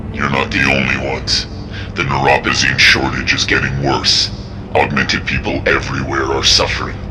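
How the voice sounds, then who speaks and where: Over loud background noise, a man does a cartoonish character voice at a moderate pace. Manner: calm, measured.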